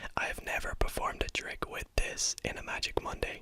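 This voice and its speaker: The speaker whispers at a fairly slow pace. Background noise is noticeable. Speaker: ASMR creator and card magician. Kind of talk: whispered ASMR card tricks. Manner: whispering; up-close whisper.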